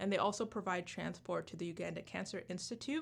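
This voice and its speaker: The voice shows vocal fry and ordinary pitch variation. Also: woman. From Canada. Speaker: student charity organizer. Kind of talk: radio interview. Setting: radio studio. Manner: halting when reading.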